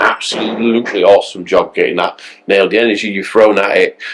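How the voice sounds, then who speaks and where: A Yorkshire accent at a moderate pace. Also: man. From Yorkshire, England. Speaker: bodybuilding show presenter. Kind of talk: casual chat. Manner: halting, repeats words.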